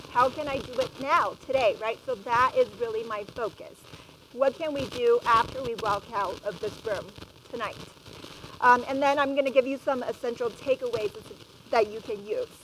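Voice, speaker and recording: The voice is loud and animated, with ordinary pitch variation at a moderate pace. Noticeable background noise runs underneath. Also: woman, high pitch for a woman. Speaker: educator and parenting speaker. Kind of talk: public talk to parents. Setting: stage with live and Zoom audience.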